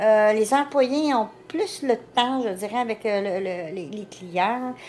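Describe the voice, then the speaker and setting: A woman speaks with a Quebec accent and lively intonation. The recording is very clean, with a silent background. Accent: Québécois French. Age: 60s. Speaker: vlogger's mother. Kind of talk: casual chat.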